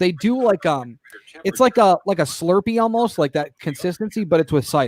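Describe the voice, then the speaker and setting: Recorded with a dry, close sound and no echo, a man with an American accent speaks at a fairly quick pace in a high pitch with lively intonation. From Michigan, Detroit area. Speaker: fill-in radio talk show host. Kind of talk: talk radio, reading listener messages and chatting. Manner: casual, halting with many fillers.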